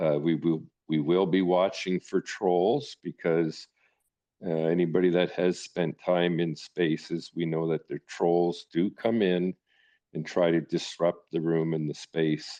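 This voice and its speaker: Over a quiet background, a man with a Canadian accent speaks fairly slowly in a very deep, low pitch, his tone dark and mellow and his intonation fairly even. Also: dry, close sound with no echo. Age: 60s. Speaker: live audio space host. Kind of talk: hosting an online audio discussion. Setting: online audio room. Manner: halting, many fillers.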